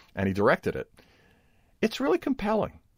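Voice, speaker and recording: A man talks at a very fast pace with a Brooklyn accent. The sound is dry and close with no echo, in a very clean recording with a silent background. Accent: Brooklyn New York. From Brooklyn, New York. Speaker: podcast host. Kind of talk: casual interview conversation.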